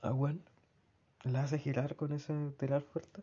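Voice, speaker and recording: This man's voice is somewhat breathy and fairly high in pitch, with a Chilean accent. He talks at a moderate pace. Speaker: personal diarist. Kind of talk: personal audio diary.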